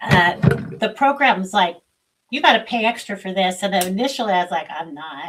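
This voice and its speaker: Speech moves at a fairly quick pace. Its intonation is lively. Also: woman, medium pitch for a woman. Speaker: spiritual livestream host. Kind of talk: casual livestream chat. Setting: live video stream.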